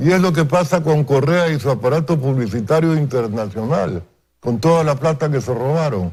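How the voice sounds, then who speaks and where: A man's fairly high, somewhat breathy voice at a moderate pace, with lively intonation, in a very clean recording over a silent background. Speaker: political analyst. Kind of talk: TV news interview. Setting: TV studio.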